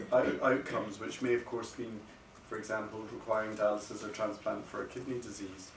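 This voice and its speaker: A voice with a Scottish accent comes through noticeable background noise and audible room echo. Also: man. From Scotland. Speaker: paediatric kidney doctor. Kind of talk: lecture. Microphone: no microphone, speaking unamplified.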